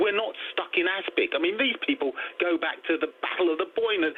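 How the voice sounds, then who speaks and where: A man with an English accent over noticeable background noise. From England. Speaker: caller. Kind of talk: heated debate. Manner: forceful.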